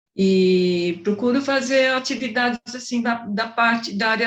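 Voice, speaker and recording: A woman talks at a fairly slow pace with ordinary pitch variation. Hers is an unremarkable speaking voice. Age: 60s. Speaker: amateur theatre actress, retiree. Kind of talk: interview.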